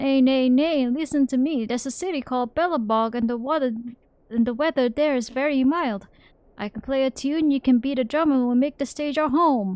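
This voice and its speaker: This woman uses a put-on character voice. It sits at a high pitch. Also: fairly quick pace. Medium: game stream. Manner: braying interjections.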